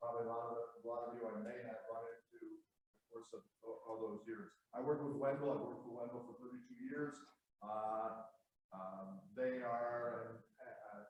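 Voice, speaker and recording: A man talks with fairly even intonation but big swings in loudness, and audible room echo fills the recording. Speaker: planning consultant. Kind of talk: conference presentation. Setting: conference room with live audience, no microphone.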